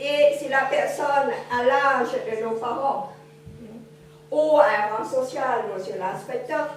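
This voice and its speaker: Speech comes at a very slow pace with long, frequent pauses, ordinary pitch variation and big swings in loudness, amid audible room echo and noticeable background noise. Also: woman, high pitch for a woman. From Cambodia. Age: 70s. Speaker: witness speaking at a school forum. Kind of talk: testimony talk to students. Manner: trying to speak louder without mic.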